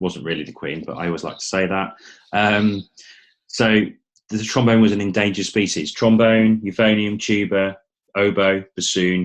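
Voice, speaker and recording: Against a quiet background, a man with an English accent speaks at a moderate pace, his fairly low pitch kept in fairly even intonation. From England. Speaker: company founder. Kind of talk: webinar presentation.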